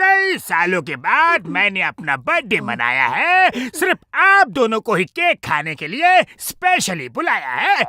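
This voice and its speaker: A cartoonish character voice, fairly high in pitch, moves at a fairly slow pace with hardly any pauses. Sound effects play in the background. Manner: boastful, bossy.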